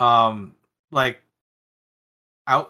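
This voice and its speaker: A man uses a raised, projected voice with a bright, sharp tone. The recording is very clean, with a silent background. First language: not English. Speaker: cosplay and prop-making influencer. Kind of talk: casual interview chat.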